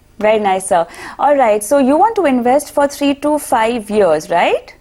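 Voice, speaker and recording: Keeping her loudness very even, a woman speaks at a moderate pace in a high pitch with very wide pitch swings. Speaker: TV business show host. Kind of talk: call-in finance show.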